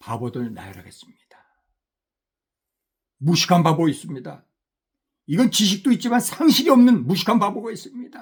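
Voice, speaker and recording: A man's high voice with very wide pitch swings, big jumps in loudness, and long, frequent pauses. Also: moderate pace. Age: 60s. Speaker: missionary preacher. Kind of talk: sermon.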